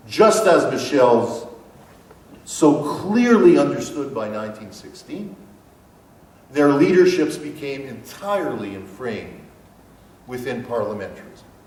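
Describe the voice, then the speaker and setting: Amid noticeable background noise and audible room echo, a man with a fairly high pitch talks fairly slowly, making very wide pitch swings, big swings in loudness and long, frequent pauses. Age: 60s. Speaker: professor. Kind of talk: lecture.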